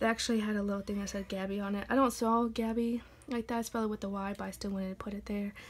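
The voice is somewhat breathy, with monotone, flat intonation delivered at a very fast pace. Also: woman. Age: 20s. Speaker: YouTuber. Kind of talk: casual vlog flip-through. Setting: home recording. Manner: casual, hesitant with many fillers. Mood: relaxed, cheerful. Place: home room. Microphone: phone near.

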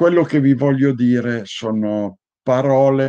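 With a dark, mellow tone and ordinary pitch variation, a man speaks very slowly against a quiet background. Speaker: heraldry institute president; conference speaker. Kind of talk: lecture. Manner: enthusiastic. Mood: earnest, warm. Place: home room. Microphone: webcam.

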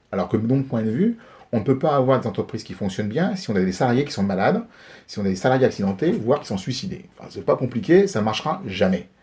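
A man with a medium-pitched, somewhat breathy voice talks at a very fast pace, his pitch swinging very widely. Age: 50s. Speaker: politician. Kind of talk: interview. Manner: halting.

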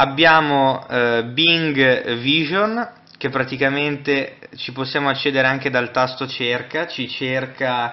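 Speaking at a medium pitch and a very slow pace, a man keeps his intonation fairly even. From Italy. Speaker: tech reviewer. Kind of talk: tutorial. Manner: halting. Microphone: camera far.

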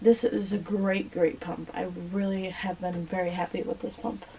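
With a dark, mellow tone, a woman speaks somewhat breathily at a fairly slow pace over light background noise. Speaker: vlogger. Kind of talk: casual tutorial-style show and tell. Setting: home video recording. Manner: hesitant with frequent fillers. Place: home room. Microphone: camera far.

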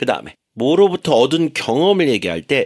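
A man's voice with vocal fry and very wide pitch swings, dry and close with no echo, in a very clean recording with a silent background. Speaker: radio English teacher. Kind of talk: radio English lesson.

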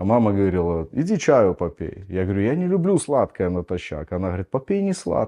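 A man talking at a fairly quick pace with hardly any pauses, against a quiet background. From Belarus. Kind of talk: lecture. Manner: teaching, explanatory. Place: home room.

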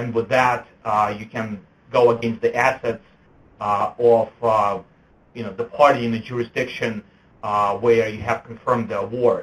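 A man speaks fairly slowly at medium pitch in a somewhat breathy, flat monotone. His loudness swings widely, and he leaves long, frequent pauses. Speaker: lawyer. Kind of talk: webinar presentation. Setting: web conference. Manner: halting, many fillers.

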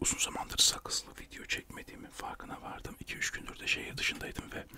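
A man whispers at a very fast pace. His loudness swings widely. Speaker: radio show host and poet/writer. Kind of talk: ASMR chat about his life, whispered, chewing gum. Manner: whispered, soft, chatty. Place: home room. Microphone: studio mic.

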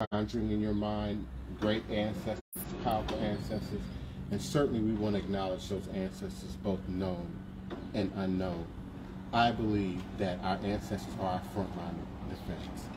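Amid loud background noise, a man speaks at a moderate pace with ordinary pitch variation and long, frequent pauses. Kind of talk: invocation speech. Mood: solemn, measured. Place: street. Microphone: camera far.

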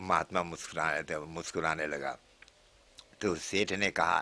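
The voice has a bright, sharp tone with vocal fry, at a very slow pace. The background is quiet. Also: man. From Suriname, Nickerie district; Suriname. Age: 70s. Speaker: Hindi teacher. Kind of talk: interview storytelling. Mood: warm, often smiling. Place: home room. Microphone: handheld.

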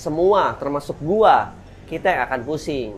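A man is speaking here. His intonation is lively. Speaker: toy collector channel host. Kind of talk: casual opinion commentary. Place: home room. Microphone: lapel.

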